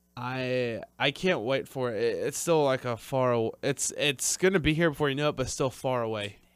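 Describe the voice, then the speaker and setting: In a very clean recording with a silent background, a man speaks at a moderate pace with hardly any pauses. He has medium pitch, ordinary pitch variation and an ordinary speaking voice. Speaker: wrestling podcast co-host. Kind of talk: casual chat. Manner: excitable.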